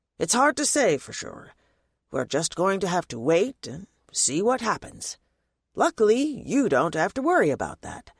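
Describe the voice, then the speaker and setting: Putting on a raspy character voice, a man speaks at a moderate pace in a high pitch with very wide pitch swings. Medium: read story. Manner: casual, slightly awkward.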